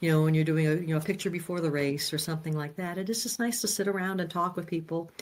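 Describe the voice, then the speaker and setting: A woman with a fairly low pitch talks at a very fast pace with hardly any pauses and ordinary pitch variation, over noticeable background noise. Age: 60s. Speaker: amateur runner. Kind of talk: casual chat.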